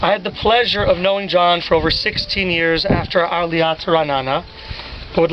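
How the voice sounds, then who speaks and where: High-pitched with an American accent, a man talks at a fairly quick pace with ordinary pitch variation over noticeable background noise. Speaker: eulogist, charity organization leader. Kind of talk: memorial eulogy.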